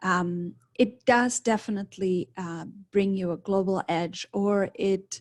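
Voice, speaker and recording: At a fairly slow pace and medium pitch, a woman with a Czech accent speaks with fairly even intonation in a dry, close sound with no echo. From Czech Republic. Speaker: study abroad adviser. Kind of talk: presentation. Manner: halting.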